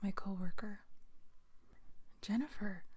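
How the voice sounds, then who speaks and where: The speaker is soft-spoken. The pace is moderate. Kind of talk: read story.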